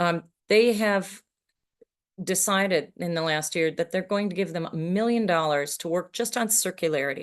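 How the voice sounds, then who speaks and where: Over a quiet background, a woman speaks in an unremarkable speaking voice. Her pitch is medium, with ordinary pitch variation. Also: moderate pace. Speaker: sustainability sponsorship consultant. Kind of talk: conference presentation.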